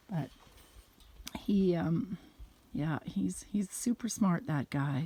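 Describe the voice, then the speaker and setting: With lively intonation, a woman speaks in a fairly low, dark, mellow and somewhat breathy voice. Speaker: vlogger. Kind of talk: personal video message. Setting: outdoors. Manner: halting.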